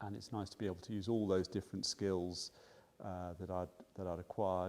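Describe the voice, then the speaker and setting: This man's pitch is very deep and low, with a dark, mellow tone. His intonation stays fairly even. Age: 50s. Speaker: GP doctor. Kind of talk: interview. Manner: halting.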